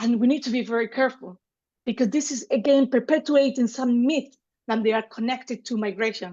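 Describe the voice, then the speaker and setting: A woman with a Spanish accent speaks at a fairly quick pace in a high voice, with ordinary pitch variation. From Spain, Seville, Andalusia. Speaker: gender specialist. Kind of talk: online lecture.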